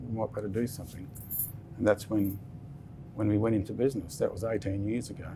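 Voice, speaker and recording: Very fast bursts from a man with a fairly low pitch and fairly even intonation are broken by long, frequent pauses. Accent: Australian. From Western Australia. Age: 60s. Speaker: business founder. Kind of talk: interview. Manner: halting.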